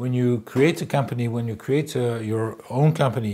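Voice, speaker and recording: Speaking with a French accent, a man uses a medium pitch, moderate pace, ordinary pitch variation and a somewhat breathy voice. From France. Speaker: public relations specialist. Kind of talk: interview monologue. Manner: halting, many fillers.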